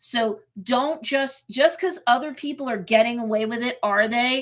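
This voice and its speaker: With a New York accent, a woman speaks at a fairly slow pace and fairly high pitch, with ordinary pitch variation. The recording is very clean, with a silent background. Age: 50s. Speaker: marketing coach and YouTuber. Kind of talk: livestream tutorial. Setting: live stream.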